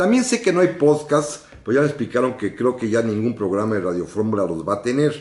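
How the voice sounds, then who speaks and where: A man with a normal speaking voice talks at a fairly quick pace with lively intonation, medium pitch and hardly any pauses. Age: 60s. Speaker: radio host and historian. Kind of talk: radio history program. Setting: radio studio, live broadcast.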